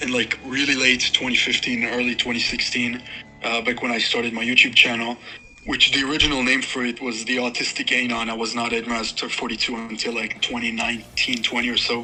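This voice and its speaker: Fairly quick, flat, monotone speech in a non-native accent, with music in the background. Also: man, medium pitch for a man. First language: not English. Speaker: musician. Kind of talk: casual interview. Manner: halting, filler-heavy.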